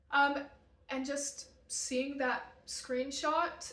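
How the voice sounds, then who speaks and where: A woman with an American accent amid audible room echo. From Utah. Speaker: vlogger. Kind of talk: casual chat.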